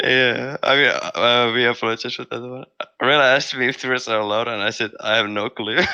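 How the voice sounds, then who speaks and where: A man talks at a very fast pace in a medium pitch. His intonation stays monotone and flat. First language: not English. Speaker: competitive gamer, team player. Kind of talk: post-match interview. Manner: halting.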